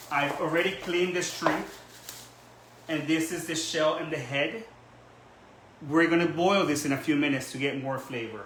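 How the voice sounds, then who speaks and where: With audible room echo and noticeable background noise around him, a man speaks at a moderate pace and fairly high pitch, leaving long, frequent pauses. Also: ordinary pitch variation. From Ecuador, Guayaquil. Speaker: cooking channel host. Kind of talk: cooking tutorial. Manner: casual, with some hesitations.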